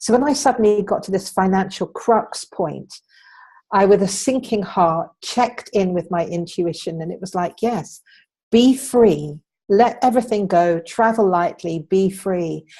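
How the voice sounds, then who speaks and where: Speaking fairly slowly in an English accent, a woman holds a medium pitch with ordinary variation. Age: 60s. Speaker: entrepreneur. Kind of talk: interview.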